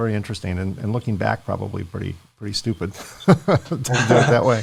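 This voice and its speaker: Speaking very fast, a man uses a fairly low voice with vocal fry and ordinary pitch variation. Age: 60s. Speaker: podcast host. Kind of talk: interview podcast.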